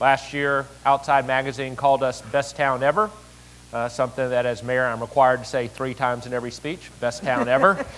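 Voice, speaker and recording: This man has a Southern US accent. His voice sits at a medium pitch. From Tennessee, Chattanooga. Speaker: city mayor. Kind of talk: conference speech.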